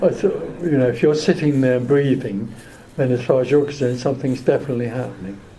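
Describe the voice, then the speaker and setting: Speaking at a fairly quick pace, a man uses a medium pitch and ordinary pitch variation, with audible room echo around him. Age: 80s+. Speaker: spiritual teacher. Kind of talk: question and answer session. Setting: hotel meeting room with audience. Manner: calm.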